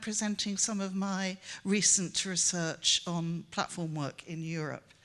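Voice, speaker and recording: A woman speaks at a fairly slow pace in a Welsh accent. The background is quiet. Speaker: professor. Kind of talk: conference talk. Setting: conference stage with audience. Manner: halting, many fillers.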